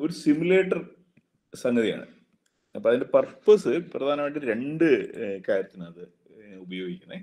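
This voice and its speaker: A man speaks with a fairly high pitch and very wide pitch swings. His tone is dark and mellow, with a quiet background. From Kerala, India. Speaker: engineering college principal teaching a workshop; lecturer. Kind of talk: lecture. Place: office. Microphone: video call.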